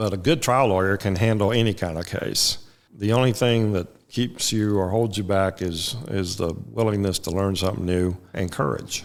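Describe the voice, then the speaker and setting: An ordinary speaking voice, a man's, fairly low-pitched, moderate in pace, with ordinary pitch variation. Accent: American. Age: 60s. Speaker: trial lawyer. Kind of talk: interview.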